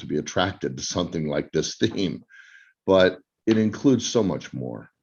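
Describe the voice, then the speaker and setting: A man speaks at a moderate pace with vocal fry and a very deep, low pitch over a quiet background. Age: 60s. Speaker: co-host of online summit. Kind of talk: panel introduction.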